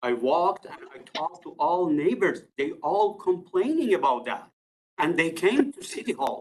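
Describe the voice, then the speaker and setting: Speech at a moderate pace with a non-native accent. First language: not English. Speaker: resident addressing city committee. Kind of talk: public delegation statement. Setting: council meeting room at podium. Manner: halting.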